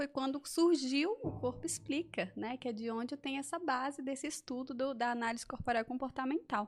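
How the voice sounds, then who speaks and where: A woman speaks with a high-pitched voice. Her pitch moves in an ordinary way. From Brasília. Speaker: body-language therapist. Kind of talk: interview explaining a topic.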